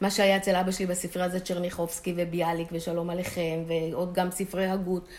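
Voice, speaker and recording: A woman with a fairly low pitch talks at a very fast pace, with hardly any pauses. Her monotone, flat intonation comes through noticeable background noise. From Israel, Holon. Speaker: retired chemist. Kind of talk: interview.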